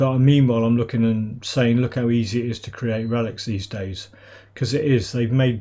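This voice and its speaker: A man with a British accent talks at a moderate pace and medium pitch, his intonation fairly even. His voice is somewhat breathy with a dark, mellow tone, on a very clean recording with a silent background. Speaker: gaming YouTuber. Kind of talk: gameplay commentary. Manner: casual, rambling.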